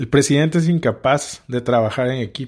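On a very clean recording with a silent background, a man with an ordinary speaking voice speaks with fairly even intonation and medium pitch. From Mexico, Tabasco. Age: 30s. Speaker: podcast host, politician. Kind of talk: political commentary monologue.

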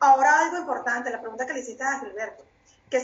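A woman with a Venezuelan accent talks in a high-pitched voice. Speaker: panelist. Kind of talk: heated political commentary. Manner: indignant, emphatic.

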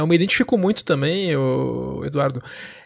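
A man talks at a moderate pace. Noticeable background noise can be heard throughout. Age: 40s. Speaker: podcast host. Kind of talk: casual chat.

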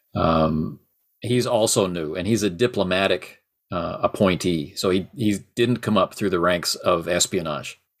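Speaking at a fairly slow pace, a man with a very deep, low pitch shows ordinary pitch variation. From Canada. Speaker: tabletop game podcaster. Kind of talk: casual chat.

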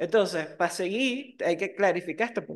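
At a moderate pace, a woman speaks at a medium pitch with ordinary pitch variation in an ordinary speaking voice. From Venezuela, Margarita Island. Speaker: podcast co-host. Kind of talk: casual chat.

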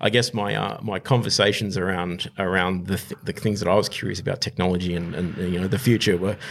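Speaking with an Australian accent, a man uses a fairly low pitch with vocal fry and ordinary pitch variation. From Australia, southwest Sydney. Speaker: startup investor. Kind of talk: interview. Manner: halting, many fillers.

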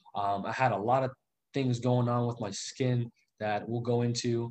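An unremarkable speaking voice from a man, medium in pitch with ordinary pitch variation, at a moderate pace. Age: 20s. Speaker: real estate investor. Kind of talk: interview on livestream.

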